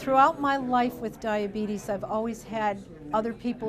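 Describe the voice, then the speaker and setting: With an American accent, a woman speaks in an unremarkable speaking voice at medium pitch. Her pace is moderate and her pitch varies in an ordinary way. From US Midwest, northwest Ohio. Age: 50s. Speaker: diabetes education nurse. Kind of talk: interview testimony.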